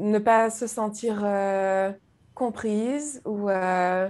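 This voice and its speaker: This is a woman's voice at a medium pitch. The recording is very clean, with a silent background. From Guadeloupe, French Antilles. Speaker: YouTube creator, spiritual guest. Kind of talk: personal testimony in interview. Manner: hesitant, repeats words.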